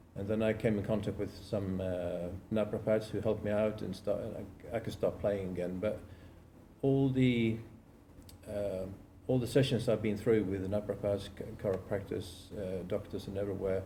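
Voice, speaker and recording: A man speaks in a fairly low, dark, mellow voice that is somewhat breathy, with fairly even intonation. Audible room echo surrounds him. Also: moderate pace. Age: 60s. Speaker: amateur golfer and web designer. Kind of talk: podcast interview.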